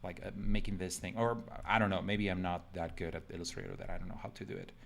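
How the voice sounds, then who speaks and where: Over light background noise, a man with a Spanish accent and a very deep, low voice talks at a fairly quick pace, his pitch varying in an ordinary way. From Mexico. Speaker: designer streaming live; designer demonstrating software. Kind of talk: live drawing tutorial. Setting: live stream from home computer. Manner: casual, filler-heavy. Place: home room.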